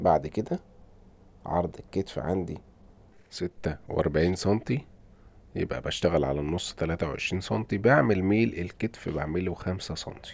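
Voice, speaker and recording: With an Egyptian accent, a man with a very deep, low pitch speaks at a moderate pace using lively intonation. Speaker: tailor teaching sewing. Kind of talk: tutorial. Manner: hesitant with fillers.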